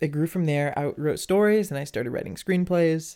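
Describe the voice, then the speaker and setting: His voice is squeaky yet dark and mellow in tone. This man talks at a fairly quick pace. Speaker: singer-songwriter and music producer. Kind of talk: casual interview chat. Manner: laughs often.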